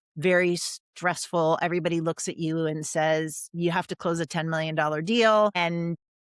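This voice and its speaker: An ordinary speaking voice on a very clean recording with a silent background and a dry, close sound with no echo. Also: woman. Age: 60s. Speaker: guest author, former business developer. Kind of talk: interview testimony.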